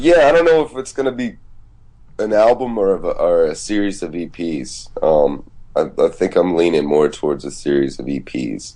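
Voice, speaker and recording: The voice has a dark, mellow tone and moves at a moderate pace. Its pitch swings very widely. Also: man, fairly low pitch for a man. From Georgia, US South (Decatur, Atlanta). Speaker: musician. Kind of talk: casual chat.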